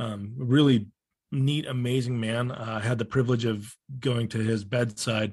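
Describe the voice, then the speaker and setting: The man's medium-pitched voice is somewhat breathy. He moves at a moderate pace with fairly even intonation. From Romania. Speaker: former church member. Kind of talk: interview conversation. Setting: video call.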